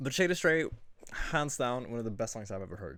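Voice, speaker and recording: This man speaks at a medium pitch in an animated tone. His intonation is lively. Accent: non-native. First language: not English. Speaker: music reaction youtuber. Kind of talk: casual music review monologue. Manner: halting.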